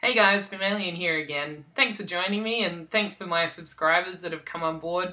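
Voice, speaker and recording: A woman's bright, sharp voice with an Australian accent. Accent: generalized Australian. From South Australia. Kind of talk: casual vlog talk. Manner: hesitant, many ums.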